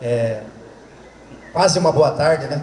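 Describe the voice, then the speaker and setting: With a Santa Catarina accent, a man speaks at a fairly high pitch with fairly even intonation amid noticeable background noise and audible room echo. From southern Brazil, Santa Catarina. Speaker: veterinarian and agronomy professor. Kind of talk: lecture. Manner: fast.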